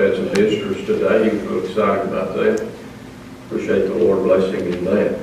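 Amid strong room echo and light background noise, a man talks at a fairly quick pace. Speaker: Sunday school teacher. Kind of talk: church announcements and prayer requests. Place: church.

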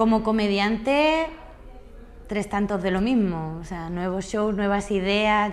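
Here a woman speaks at a fairly slow pace. Her pitch variation is ordinary. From Andalusia, southern Spain. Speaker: singer and comedian; comedian. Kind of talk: interview answer. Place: home room.

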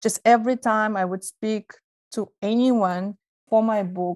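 The sound is dry and close with no echo. A woman speaks at a fairly slow pace in a flat monotone. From Kazakhstan, Almaty. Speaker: scholar and author. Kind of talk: interview.

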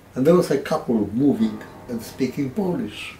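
With very wide pitch swings, a man talks at a fairly slow pace. There is light background noise and audible room echo. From Danzig. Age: 80s+. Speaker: World War II veteran. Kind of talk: interview answer. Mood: calm, reflective storytelling. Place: home room.

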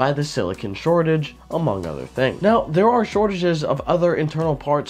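Music plays in the background as a man speaks at a fairly quick pace in a fairly high pitch. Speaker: PC hardware youtuber. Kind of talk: casual talk to camera.

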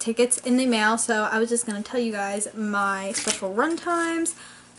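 Light background noise is present. The speaker is a woman. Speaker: model horse collector vlogger. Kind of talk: casual vlog chat. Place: home room. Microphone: camera far.

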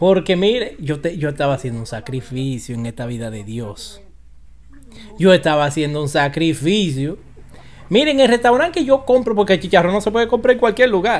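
A man's fairly quick, high-pitched voice in a Dominican accent, with very wide pitch swings and big swings in loudness. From Dominican Republic. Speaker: online commentator. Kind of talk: casual vlog commentary. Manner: animated. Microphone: studio mic.

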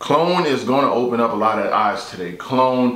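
Strong room echo surrounds a man at medium pitch and moderate pace. His tone is fairly bright and his intonation lively.

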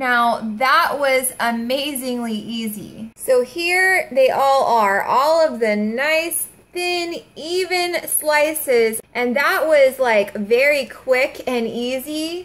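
Very slowly, a woman speaks in a high voice with lively intonation. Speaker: home cook demonstrating a tool. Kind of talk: tutorial. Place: kitchen. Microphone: camera far.

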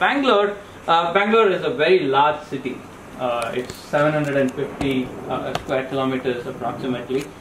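A man talks with ordinary pitch variation while noticeable background noise is heard. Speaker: presenter. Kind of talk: lecture. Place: meeting room. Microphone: camera far.

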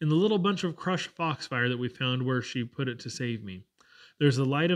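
In a natural reading voice, the speaker is heard against a quiet background.

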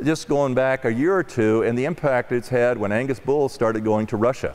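The pace here is moderate. The tone is slightly mellow. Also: man.

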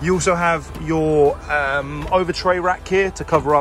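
A man speaks in a dry recording with no echo. Clear music plays in the background. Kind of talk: product walkaround commentary. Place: car. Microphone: phone near.

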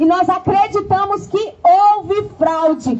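An extremely high-pitched female voice with ordinary pitch variation over light background noise. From Brazil, Olímpia, São Paulo state. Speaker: lawyer, federal attorney. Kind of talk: political speech at a street protest. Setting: outdoors. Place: street. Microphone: pa.

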